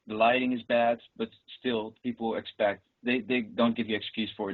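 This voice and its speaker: A man is speaking. He talks with a Dutch accent. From Netherlands. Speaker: professional juggler. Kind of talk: interview.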